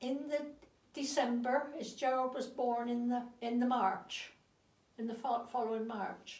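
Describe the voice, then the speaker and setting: With a Dorset accent, the speaker talks at a fairly slow pace in a monotone, flat intonation, with audible room echo. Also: woman, high pitch for a woman. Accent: Dorset West Country English. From Dorset, southern England. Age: 80s+. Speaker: interviewee recounting her life. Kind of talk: reminiscence interview. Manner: halting, with repetitions.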